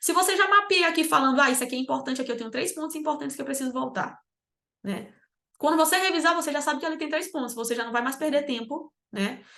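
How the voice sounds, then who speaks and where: At a very fast pace, a woman raises and projects her high-pitched voice, bright and sharp in tone, with lively intonation. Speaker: exam preparation mentor. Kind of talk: online lecture. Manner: animated.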